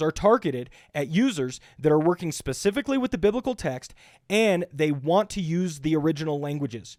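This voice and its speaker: With a dry, close sound and no echo, a high-pitched man talks at a fairly quick pace with lively intonation. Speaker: pastor reviewing bible software. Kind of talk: tutorial. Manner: fast.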